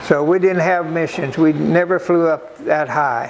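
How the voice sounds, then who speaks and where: Noticeable background noise surrounds a man speaking at a very slow pace. He has a high pitch, ordinary pitch variation and an American accent. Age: 80s+. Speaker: war veteran. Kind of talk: interview answer.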